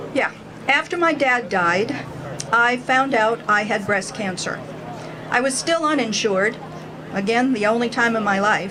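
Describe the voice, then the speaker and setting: A woman's fairly high voice at a fairly slow pace, ordinary pitch variation, audible room echo and noticeable background noise. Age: 60s. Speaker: rally speaker, cancer survivor. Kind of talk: rally speech.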